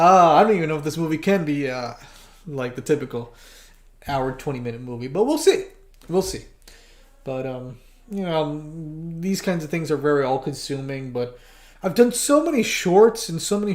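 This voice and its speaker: This man's voice sits at a fairly high pitch with ordinary pitch variation. He keeps a moderate pace. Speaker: animator and video creator. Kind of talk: livestream casual talk. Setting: livestream. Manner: halting, many fillers and restarts.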